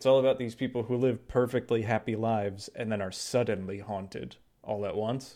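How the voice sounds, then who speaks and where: A man's dark, mellow voice at medium pitch, with ordinary pitch variation and a moderate pace, over a quiet background. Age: 30s. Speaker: podcast co-host. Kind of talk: casual chat.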